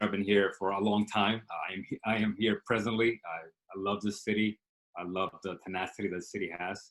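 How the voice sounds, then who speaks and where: A man's voice, fairly low in pitch. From Dominican Republic, then South Bronx from age 12. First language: Spanish. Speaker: startup CEO. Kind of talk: interview. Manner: hesitant with fillers.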